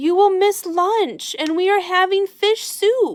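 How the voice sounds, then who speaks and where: In a put-on character voice, a woman talks at an extremely high pitch. Her delivery is fairly slow. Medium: read story.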